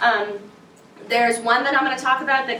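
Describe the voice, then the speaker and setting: The speech comes at a very fast pace. There is audible room echo and noticeable background noise. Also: woman. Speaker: study abroad scholarship advisor. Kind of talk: information session presentation. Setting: room with student audience. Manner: casual, energetic.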